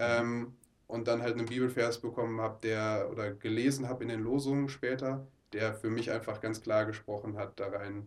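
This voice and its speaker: This man speaks at a medium pitch in a flat monotone. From Ruhr area, Oberhausen. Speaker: mission trip leader. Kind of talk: interview. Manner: halting.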